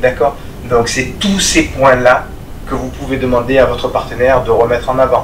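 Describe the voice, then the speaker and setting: Moderate-paced speech amid noticeable background noise and audible room echo. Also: man. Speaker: martial arts instructor. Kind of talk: tutorial. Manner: calm, measured.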